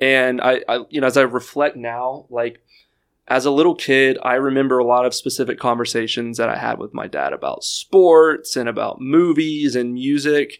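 An ordinary speaking voice, this man talks at a moderate pace and medium pitch with an American accent and fairly even intonation, on a very clean recording with a silent background. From Houston, Texas. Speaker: former contestant on dating show, amputee athlete. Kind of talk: casual chat.

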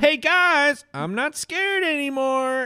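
This is a put-on character voice pitched high. It moves at a fairly slow pace. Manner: brazen, cocky; deadpan.

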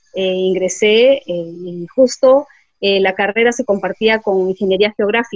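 A woman with a Peruvian accent speaks fairly slowly at a medium pitch, her pitch moving in an ordinary way. The sound is dry and close, with no echo. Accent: Peruvian Spanish (Lima). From Peru, Lima. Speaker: environmental engineer. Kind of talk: interview. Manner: hesitant, many fillers.

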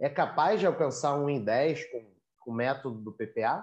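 The man's voice sits fairly high. He talks at a fairly unhurried pace. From Rio de Janeiro, Brazil. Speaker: academic writing coach, podcast host. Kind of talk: interview. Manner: enthusiastic.

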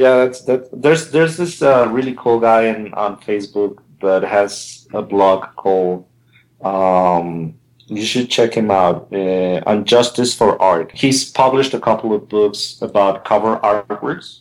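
With a Spanish accent, a man speaks at a fairly slow pace and a fairly low pitch, using ordinary pitch variation. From Colombia, raised partly abroad. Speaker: album cover artist. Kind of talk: casual interview chat. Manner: halting, with many fillers and repetitions.

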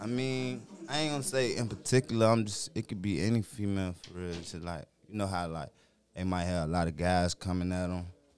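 With an American accent, a man talks at a fairly quick pace in a very deep, low pitch with ordinary pitch variation. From Petersburg, Virginia. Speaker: rapper. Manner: laid back.

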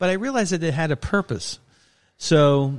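On a very clean recording with a silent background, a man's voice moves through very wide pitch swings. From Brooklyn, New York. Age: 60s. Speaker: sports photographer. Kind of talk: casual interview.

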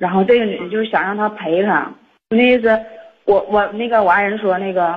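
Somewhat breathy, a woman's voice sits at a fairly high pitch. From Liaoning, northeast China (Xinmin). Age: 30s. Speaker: caller seeking advice. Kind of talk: phone-in advice call. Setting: phone call. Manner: fast-talking.

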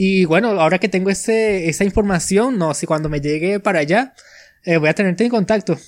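A man speaks in a high pitch at a fairly quick pace. His pitch variation is ordinary. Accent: Venezuelan. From Venezuela. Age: 20s. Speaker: podcaster. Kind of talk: casual chat.

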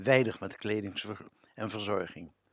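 A man is speaking. He keeps a moderate pace. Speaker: radio presenter. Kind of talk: scripted narration.

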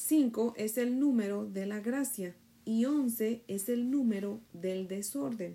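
Speaking at a very slow pace, a woman has a fairly high pitch with ordinary variation and a dark, mellow, warm tone. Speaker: devotional teacher. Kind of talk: bible study devotional. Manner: warm, prayerful.

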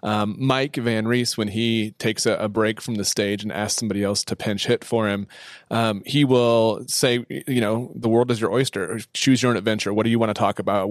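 Dry and close with no echo, this very clean recording on a silent background has a man with an ordinary speaking voice talking at a fairly quick pace in a fairly low pitch, with fairly even intonation and hardly any pauses. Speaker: church marketing and communications manager. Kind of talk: casual interview chat. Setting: studio.

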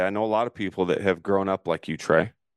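Against a quiet background, a man with a normal speaking voice and a fairly low pitch is heard in a dry, close sound with no echo. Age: 40s. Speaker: entrepreneur and author. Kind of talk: interview on mentoring call. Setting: video call.

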